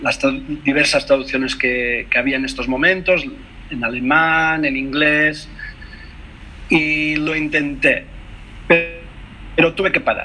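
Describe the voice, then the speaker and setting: At a fairly slow pace, a man speaks with a Catalan accent. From Mallorca, Spain. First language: Catalan (speaking Spanish). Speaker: translator and poet. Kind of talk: interview conversation over video call. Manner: halting, many hesitations and self-corrections.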